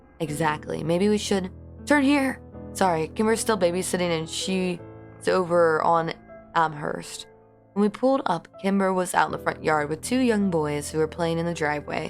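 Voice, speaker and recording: Music plays in the background. A woman with a fairly low pitch talks at a moderate pace with lively intonation. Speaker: audiobook narrator. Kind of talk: horror audiobook reading. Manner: emotional, acted dialogue.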